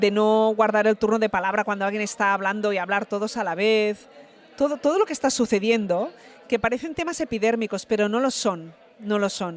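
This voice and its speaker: Fairly quick in pace, a woman speaks with a fairly high pitch and ordinary pitch variation in an unremarkable speaking voice. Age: 50s. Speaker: actress. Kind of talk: interview.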